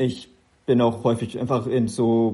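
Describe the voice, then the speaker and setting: The man's medium-pitched voice has a dark, mellow tone. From Upper Franconia, Kulmbach. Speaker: mobile games product lead. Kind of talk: interview.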